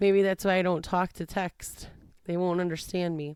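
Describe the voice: Captured in a dry, close sound with no echo, a woman talks with monotone, flat intonation. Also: medium pitch for a woman, moderate pace.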